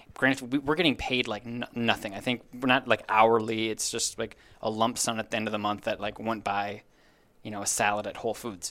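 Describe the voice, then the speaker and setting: A man's medium-pitched, fairly quick delivery in an American accent, an unremarkable speaking voice with fairly even intonation, on a very clean recording with a silent background. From Minnesota. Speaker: sports team digital content manager. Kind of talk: casual interview chat.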